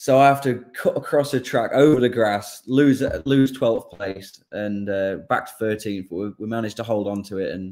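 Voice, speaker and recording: With an English accent, a man talks in a fairly low pitch with ordinary pitch variation. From England. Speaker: motorcycle racer. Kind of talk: casual chat. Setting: video call.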